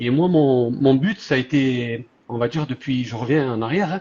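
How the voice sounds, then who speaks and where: The speaker is a man. His fairly high voice sounds somewhat breathy. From southern France. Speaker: social media content creator. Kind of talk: live stream interview.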